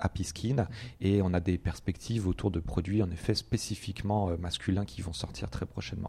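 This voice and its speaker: On a very clean recording with a silent background, a man speaks at a fairly low pitch in a dark, mellow tone with fairly even intonation. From Brittany, rural France. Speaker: startup co-founder. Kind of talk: interview. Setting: at home. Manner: hesitant, many fillers.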